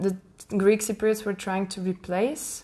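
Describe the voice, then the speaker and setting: A woman speaks at medium pitch with a Czech accent. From Czech Republic. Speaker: podcast host. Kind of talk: interview, casual chat.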